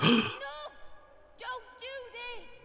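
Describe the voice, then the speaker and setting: Extremely high pitch in a put-on character voice. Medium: video game. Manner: shouting, desperate.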